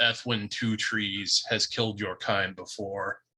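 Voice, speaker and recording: A booming, put-on character voice from a man, fairly low in pitch and at a fairly slow pace. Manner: ominous, declaring.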